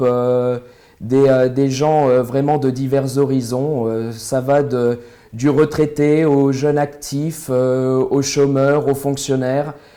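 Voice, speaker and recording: Music plays in the background as a man with a fairly high pitch speaks at a very slow pace with fairly even intonation. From France, Nevers area (Burgundy). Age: 20s. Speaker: local election candidate. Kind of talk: interview. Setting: studio. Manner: hesitant, many fillers.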